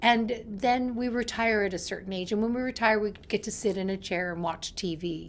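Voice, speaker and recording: This woman has an unremarkable speaking voice at medium pitch with ordinary pitch variation. She speaks at a moderate pace. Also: very clean recording, silent background. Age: 60s. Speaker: life coach. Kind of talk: motivational talk.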